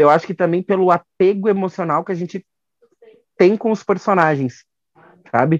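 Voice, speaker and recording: A high-pitched man with long, frequent pauses, in a dry, close sound with no echo. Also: ordinary pitch variation, moderate pace. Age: 20s. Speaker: drag queen and telemarketing attendant. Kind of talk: casual chat.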